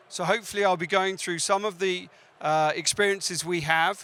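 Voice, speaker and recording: A man with a British accent speaks at a moderate pace in a high, bright, sharp voice with fairly even intonation. The recording is very clean, with a silent background. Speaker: cybersecurity sales director. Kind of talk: conference talk. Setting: stage with audience.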